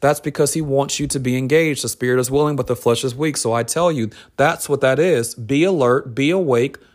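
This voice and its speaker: In a very clean recording with a silent background, a man with a fairly high pitch speaks at a fairly quick pace in an intense tone with ordinary pitch variation. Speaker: podcast host and minister. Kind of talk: sermon. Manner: intense, urgent delivery.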